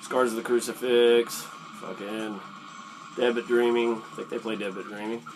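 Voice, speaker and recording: Over noticeable background noise, a man talks at a moderate pace in a medium pitch with fairly even intonation. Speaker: YouTuber telling metal concert stories. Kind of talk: casual story time vlog. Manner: casual, many fillers and hesitations.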